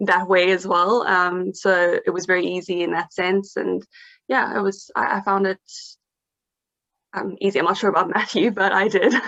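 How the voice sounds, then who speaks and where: A woman speaks in a monotone, flat intonation at a medium pitch and a moderate pace, with long, frequent pauses. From South Africa. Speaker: English teacher abroad. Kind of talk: interview. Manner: hesitant, many fillers.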